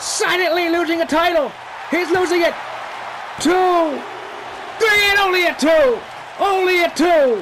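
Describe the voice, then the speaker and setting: Noticeable noise fills the background while the words come at a fairly slow speed. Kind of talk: live commentary. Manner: loud, shouting; animated.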